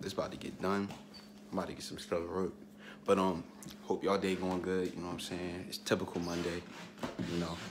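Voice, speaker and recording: Over noticeable background noise, a man with a very deep, low pitch talks at a fairly quick pace in a monotone, flat intonation, broken by long, frequent pauses. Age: young. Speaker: vlogger. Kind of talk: casual vlog monologue. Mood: reflective, earnest.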